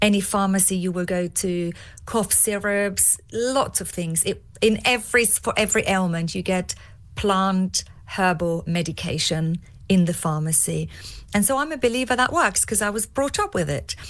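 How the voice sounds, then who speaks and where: In an Austrian accent, a woman talks at a medium pitch with ordinary pitch variation. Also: moderate pace. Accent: non-English, Austrian-tinged. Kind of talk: podcast interview.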